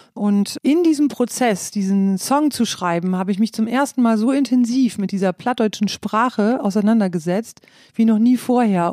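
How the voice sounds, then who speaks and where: A woman speaks at a moderate pace with a fairly high pitch, a dark, mellow tone and lively intonation. The recording is very clean with a silent background and a dry, close sound with no echo. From northern Germany (East Frisia). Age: middle-aged. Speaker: musician. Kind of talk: interview.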